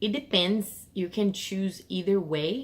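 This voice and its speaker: A woman with a Portuguese accent and ordinary pitch variation. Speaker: English teacher. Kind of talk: tutorial. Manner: casual, with fillers and self-corrections.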